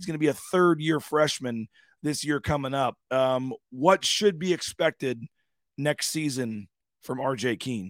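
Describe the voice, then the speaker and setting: A man with a normal speaking voice, fairly slow pace and ordinary pitch variation, in a very clean recording with a silent background and a dry, close sound with no echo. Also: fairly high pitch for a man. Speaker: sports radio host. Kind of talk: casual sports talk radio chat.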